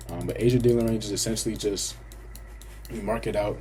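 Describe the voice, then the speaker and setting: Audible room echo hangs around this man's voice. He talks at a very fast pace. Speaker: trading educator. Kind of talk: tutorial. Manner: casual.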